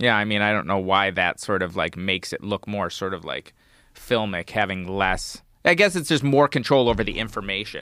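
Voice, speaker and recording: A man with an American accent and a fairly low pitch speaks at a moderate pace with a bright, sharp tone and lively intonation, captured in a very clean recording with a silent background. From Wisconsin. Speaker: digital artist. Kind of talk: casual chat.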